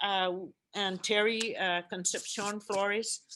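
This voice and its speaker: Bright and sharp in tone, a woman with a Guamanian accent speaks at a medium pitch and fairly slow pace in a monotone, flat intonation. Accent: Guamanian (CHamoru) English. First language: CHamoru. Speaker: language commission chairperson. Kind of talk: conference presentation. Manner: halting, many fillers.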